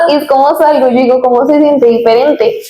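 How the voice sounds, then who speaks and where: A woman with a high pitch speaks amid audible room echo. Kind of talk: casual chat. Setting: studio. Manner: fast.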